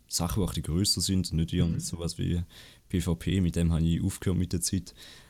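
Speaking at a fairly quick pace, a man with a Swiss German accent has a very deep, low pitch. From Switzerland, Appenzell. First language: Swiss German (speaking German). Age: under 20. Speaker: Twitch streamer and student. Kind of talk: casual interview. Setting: online call.

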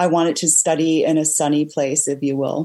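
A woman's very deep, low voice at a moderate pace. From mixed: Hong Kong, Lebanon, Germany. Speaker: race car driver and entrepreneur. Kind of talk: interview.

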